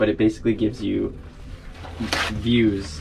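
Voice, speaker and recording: Against noticeable background noise, a man with a Canadian accent speaks in a fairly low voice. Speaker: sailing vlogger. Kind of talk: tutorial.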